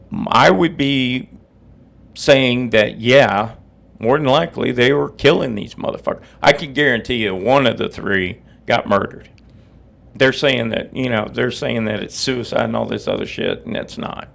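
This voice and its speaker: A man talks with a medium pitch. Vocal fry runs through his voice. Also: ordinary pitch variation. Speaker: podcast host. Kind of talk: casual monologue. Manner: slow; halting.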